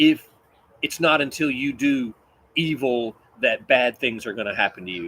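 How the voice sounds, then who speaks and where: A man is talking. He speaks with a Kentucky accent. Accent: Kentucky Southern. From West Kentucky, US. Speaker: Bible teacher. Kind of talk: Bible study teaching. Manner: animated, conversational.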